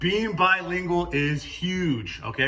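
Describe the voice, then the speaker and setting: An energetic, high-pitched man with ordinary pitch variation, against noticeable background noise. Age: 40s. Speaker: construction company owner. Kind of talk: career talk to students. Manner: casual, energetic with frequent fillers.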